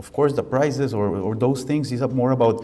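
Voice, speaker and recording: In a Costa Rican accent, a dark, mellow voice with ordinary pitch variation sounds out over audible room echo. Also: man. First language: Spanish. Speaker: architect and professor. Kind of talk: lecture. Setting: lecture hall with audience. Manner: halting.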